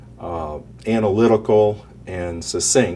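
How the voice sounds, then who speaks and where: A man talks in an unremarkable speaking voice, pitched at a medium level. The rise and fall of his pitch is ordinary. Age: 60s. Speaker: retiree, financial planning client. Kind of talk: interview.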